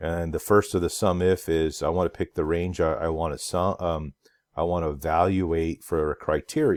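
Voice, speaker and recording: A man's very deep, low voice at a moderate pace, in a very clean recording with a silent background. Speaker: instructor. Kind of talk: tutorial. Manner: hesitant, many fillers.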